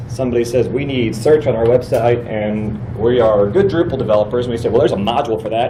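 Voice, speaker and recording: Over noticeable background noise and audible room echo, a man with a medium-pitched voice speaks at a fairly quick pace. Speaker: conference presenter, web developer. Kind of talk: conference talk. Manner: fast.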